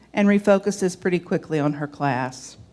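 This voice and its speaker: A woman talks with a Southern US accent, the recording very clean and the background silent. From US South. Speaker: lay church leader. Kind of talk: sermon.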